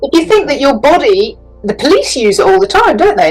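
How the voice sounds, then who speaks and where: With a British accent, the speaker moves at a fairly quick pace with very wide pitch swings over noticeable background noise. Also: woman. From England. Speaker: business coach and psychic. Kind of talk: interview answer. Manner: entertaining.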